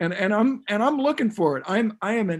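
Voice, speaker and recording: The man's intonation is lively at a moderate pace. The recording is very clean, with a silent background. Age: 70s. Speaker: health futurist. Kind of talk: panel discussion.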